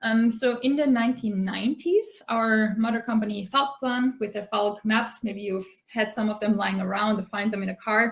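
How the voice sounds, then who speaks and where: Somewhat breathy, a woman with an Austrian accent speaks at a fairly high pitch and moderate pace. Her intonation stays fairly even, with hardly any pauses. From Austria, Tyrol. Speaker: product manager at a mapping company. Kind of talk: conference talk.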